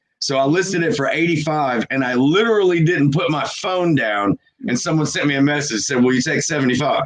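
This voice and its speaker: Lively intonation carries an ordinary speaking voice. It moves at a fairly quick pace. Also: man. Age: 40s. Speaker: reseller. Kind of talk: casual chat.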